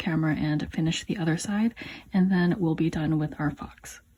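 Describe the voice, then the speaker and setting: At a fairly quick pace, a woman talks in a dark, mellow, somewhat breathy tone with ordinary pitch variation. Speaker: crochet tutorial maker. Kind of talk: tutorial. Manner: casual.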